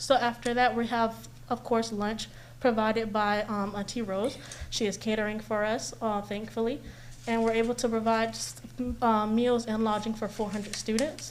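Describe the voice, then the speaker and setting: A woman talks with a fairly high pitch and fairly even intonation. Room echo is audible. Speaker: community event organizer presenting to city commission. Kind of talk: public presentation at council meeting. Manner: fast.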